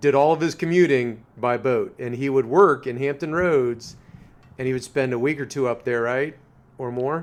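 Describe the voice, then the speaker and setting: This man has a plain, everyday voice at medium pitch. He moves at a moderate pace with ordinary pitch variation. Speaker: podcast host. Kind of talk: interview question, casual conversation.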